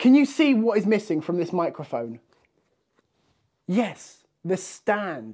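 Slow and high-pitched, a man's voice with a dark, mellow tone swings widely in pitch.

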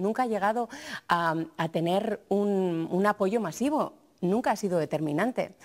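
A woman's pitch varies in an ordinary way, with a quiet background behind her. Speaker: TV journalist. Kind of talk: TV panel discussion. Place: studio. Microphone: lapel.

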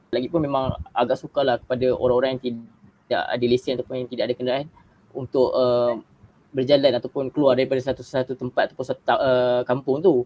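Delivered at a very fast pace, a man's medium-pitched voice stays monotone, with flat intonation. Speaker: university student. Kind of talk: casual chat. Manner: halting, many fillers.

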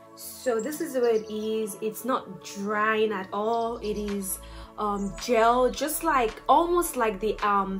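A woman at a very slow pace with faint music in the background. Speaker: beauty vlogger. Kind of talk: casual makeup review tutorial. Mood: upbeat, playful. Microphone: phone near.

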